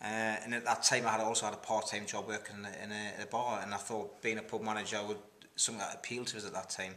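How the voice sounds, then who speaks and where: Very fast and monotone, this man speaks with flat intonation. His voice is fairly low in pitch with a bright, sharp tone. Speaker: interviewee. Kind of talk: interview answer. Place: home room.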